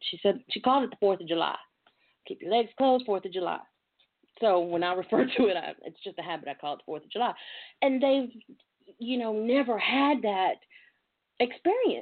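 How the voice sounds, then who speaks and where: A woman with a Southern US accent, an animated tone, very wide pitch swings, a fairly quick pace and long, frequent pauses. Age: 40s. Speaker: talk show host. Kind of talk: casual talk show chat. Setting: internet radio with callers.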